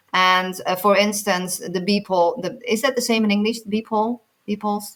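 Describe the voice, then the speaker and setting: A woman with a non-native accent speaks at a medium pitch and a moderate pace, her intonation fairly even. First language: not English. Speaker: nutritionist. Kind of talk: interview. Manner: halting, many repeated words.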